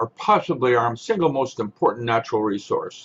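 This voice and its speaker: At a moderate pace, a man talks with very wide swings in pitch. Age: 70s. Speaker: author and researcher guest. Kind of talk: interview.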